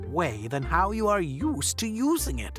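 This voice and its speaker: A put-on character voice with a warm tone, delivered at a fairly slow pace. Clear music plays in the background. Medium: read story. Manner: warm, encouraging.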